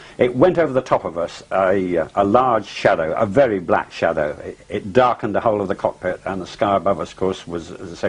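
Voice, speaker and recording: With an English accent, a fairly low-voiced man talks at a fairly quick pace with ordinary pitch variation over noticeable background noise. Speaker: pilot. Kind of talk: interview testimony. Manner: halting.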